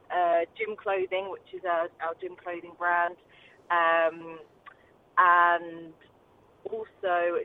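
Her intonation stays monotone and flat as the woman speaks. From Essex, England. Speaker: businesswoman. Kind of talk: interview.

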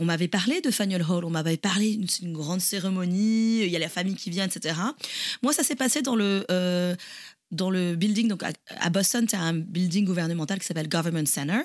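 A woman's pitch varies in an ordinary way as she talks at a moderate speed. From France, Toulouse. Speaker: podcast co-host. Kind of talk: casual chat. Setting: remote call.

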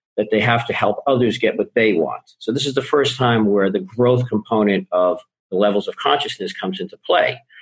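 A man talks with lively intonation in an ordinary speaking voice. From Boston. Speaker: life and business coach. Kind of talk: podcast interview.

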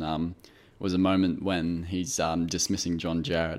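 A man with an Australian accent, very deep, low pitch, moderate pace, on a very clean recording with a silent background. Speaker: podcast co-host, film reviewer. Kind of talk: casual chat.

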